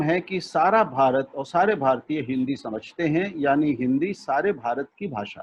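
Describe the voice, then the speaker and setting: This man talks in a Punjabi accent. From India, Lucknow. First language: Punjabi (speaking Hindi). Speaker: media expert and language thinker. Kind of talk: web seminar talk. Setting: video call.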